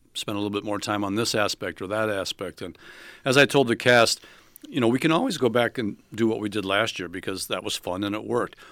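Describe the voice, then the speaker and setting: A man with a normal speaking voice at a fairly low pitch, ordinary pitch variation, and a very clean recording over a silent background. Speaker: theater director. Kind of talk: radio interview. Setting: studio.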